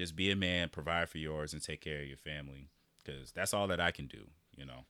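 With an American accent, a man speaks very fast in a very deep, low voice with vocal fry and a bright, sharp tone. His intonation is fairly even, and the recording is very clean with a silent background. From US Midwest, Iowa. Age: young. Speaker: podcast host. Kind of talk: casual monologue.

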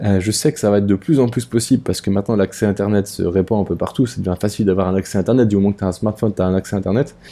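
At a very fast pace, a man talks in a fairly low pitch with a dark, mellow tone. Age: 30s. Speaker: podcaster. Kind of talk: casual monologue. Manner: hesitant, many fillers.

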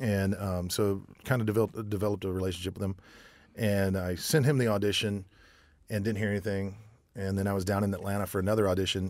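In a very clean recording with a silent background, a man with an American accent speaks at a very fast pace. His pitch is fairly low and his intonation fairly even. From US South, military family moving around. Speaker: singer and bartender. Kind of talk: casual chat. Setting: studio.

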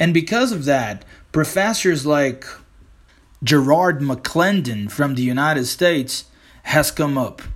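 A fairly slow, animated man's voice, fairly high in pitch, with lively intonation. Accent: Brazilian. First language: Portuguese. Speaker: English teacher and podcaster. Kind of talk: podcast monologue with clips. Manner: animated, casual.

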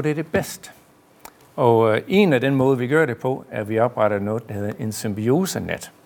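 Speaking with an American accent at a medium pitch, a man talks at a fairly slow pace with ordinary pitch variation over noticeable background noise. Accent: American accent in Danish. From US, New York. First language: English (speaking Danish). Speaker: director of an energy park. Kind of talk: live panel interview.

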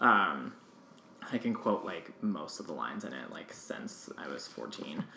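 A man with an American accent talks at a fairly slow pace, with big swings in loudness. Noticeable background noise runs behind him. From rural US East Coast. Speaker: podcast host. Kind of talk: casual chat.

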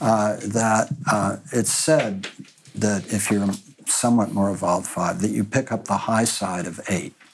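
Against noticeable background noise, a man talks at a fairly low pitch with ordinary pitch variation. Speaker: panelist. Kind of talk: panel discussion.

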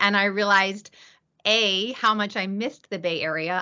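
At a moderate pace, someone with an American accent speaks in an ordinary speaking voice with fairly even intonation. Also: woman. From US East Coast. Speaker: company general counsel, former litigator. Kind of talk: podcast interview.

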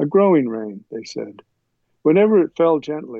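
A man speaks in an ordinary speaking voice with an American accent. His pace is fairly slow and his intonation lively. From US South, Kentucky. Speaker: poet. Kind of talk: interview with poetry reading.

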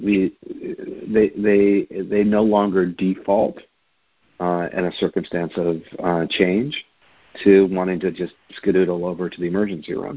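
A man with an American accent has a normal speaking voice and a fairly low pitch. He keeps a moderate pace and fairly even intonation. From upstate New York. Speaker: palliative care physician. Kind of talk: interview.

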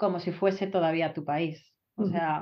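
Her pace is fairly slow. This woman keeps a fairly even intonation. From Spain (Galicia, Vigo). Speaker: Spanish professor. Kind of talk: casual interview. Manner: halting.

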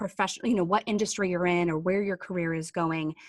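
A plain, everyday voice from a woman at medium pitch with ordinary pitch variation, dry and close with no echo, on a very clean recording with a silent background. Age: 30s or 40s. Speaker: digital marketing agency owner and podcast co-host. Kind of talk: casual chat.

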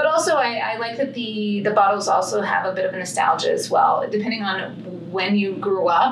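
Over noticeable background noise and audible room echo, someone with an American accent talks at a moderate pace. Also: woman. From Texas, Fort Worth/Dallas area. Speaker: wine company co-founder. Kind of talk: interview conversation.

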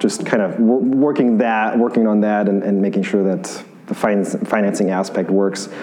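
Noticeable background noise sits under a man's fairly low voice. He talks at a fairly quick pace with fairly even intonation. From Bavaria, Germany. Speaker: brewery co-founder and brewer. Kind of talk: casual interview.

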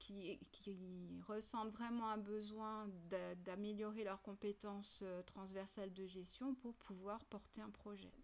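A woman talks at a very slow pace with hardly any pauses. Her medium-pitched voice stays monotone and flat. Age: 50s. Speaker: university program director. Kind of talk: interview conversation.

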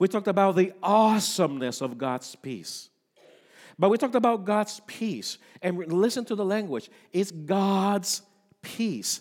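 On a very clean recording with a silent background, a man with a high pitch talks at a fairly slow pace and lively intonation. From Puerto Rico. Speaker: pastor. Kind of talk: sermon. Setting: church.

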